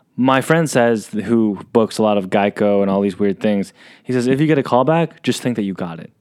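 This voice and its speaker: Pace is fairly quick in a normal speaking voice. The recording is very clean, with a silent background. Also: man, fairly low pitch for a man, ordinary pitch variation. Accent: American. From San Diego, California. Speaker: podcast host. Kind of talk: casual interview chat. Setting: studio with camera.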